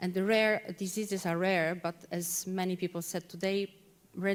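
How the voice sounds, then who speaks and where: In a Polish accent, a woman speaks at a moderate pace and medium pitch with a monotone, flat intonation. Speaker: policy officer. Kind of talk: conference talk. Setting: conference hall. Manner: halting, many repeated words.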